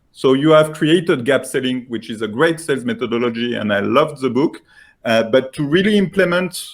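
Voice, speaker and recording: In a French accent, a man speaks at a fairly high pitch with ordinary variation. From France. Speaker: software founder pitching. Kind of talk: sales pitch. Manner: halting, many fillers.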